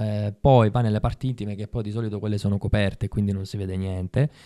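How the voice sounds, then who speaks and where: A man's fairly low-pitched voice, dark and mellow in tone, with fairly even intonation over a quiet background. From Sicily (Ribera); Sicily. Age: 30s. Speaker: actor. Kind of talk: casual interview chat. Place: studio. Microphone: studio mic.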